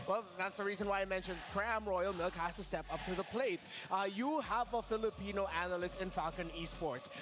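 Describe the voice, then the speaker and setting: Against noticeable background noise, a man with a high pitch talks at a fairly quick pace, with ordinary pitch variation and hardly any pauses. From Philippines. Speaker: esports analyst. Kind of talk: esports panel discussion.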